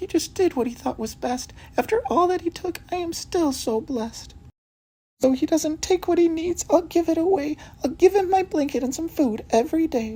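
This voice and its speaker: The pitch climbs extremely high. It comes from a put-on character voice. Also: moderate pace. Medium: read story. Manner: excitable.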